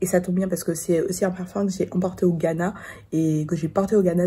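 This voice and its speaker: A dark, mellow, somewhat breathy tone with fairly even intonation. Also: woman. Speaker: perfume vlogger. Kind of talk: casual vlog review. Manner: hesitant, many fillers.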